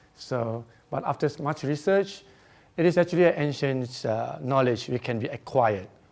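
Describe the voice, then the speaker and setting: A man with a Singaporean accent speaks at a moderate pace with lively intonation. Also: very clean recording, silent background. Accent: Singaporean English (Singlish). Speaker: feng shui researcher and speaker. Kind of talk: conference presentation. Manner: hesitant, many fillers.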